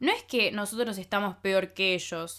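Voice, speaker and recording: In a Rioplatense accent, a woman speaks at a very slow pace with a bright, sharp tone. The recording is very clean, with a silent background. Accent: Rioplatense Spanish (porteño). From Argentina (Buenos Aires), childhood partly in France. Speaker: podcast host. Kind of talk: personal monologue.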